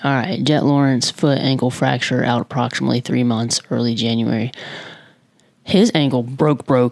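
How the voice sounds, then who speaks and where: A woman speaks quietly. Her pace is fairly quick. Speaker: motorsport vlogger. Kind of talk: casual vlog commentary. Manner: quiet, held-down voice; casual, chatty.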